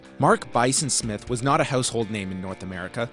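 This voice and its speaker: Over background music, a man races through his words at a very fast pace. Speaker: wrestling show host. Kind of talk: TV tribute narration.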